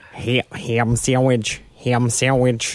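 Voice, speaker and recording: A man's put-on character voice in a Western New York accent, monotone and flat in intonation. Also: medium pitch for a man. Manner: repetitive, squawky mimicry.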